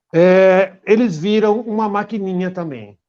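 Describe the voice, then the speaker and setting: This man's voice has a dark, mellow tone. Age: 60s. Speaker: dog trainer. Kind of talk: interview.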